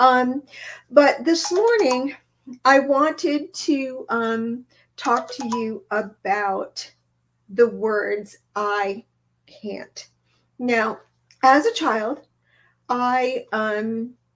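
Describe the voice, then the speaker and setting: Delivery is very slow, broken by long, frequent pauses and marked by big swings in loudness. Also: woman, high pitch for a woman, ordinary pitch variation. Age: 60s. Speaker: inspirational livestream host. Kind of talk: casual live stream chat. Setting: live video stream. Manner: hesitant, many fillers.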